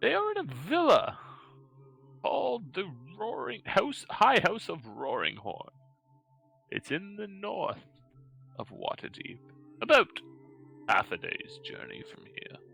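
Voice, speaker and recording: A man's put-on character voice with long, frequent pauses and faint music in the background. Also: fairly slow pace, big swings in loudness. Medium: actual play. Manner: halting, stammering, pauses for breath.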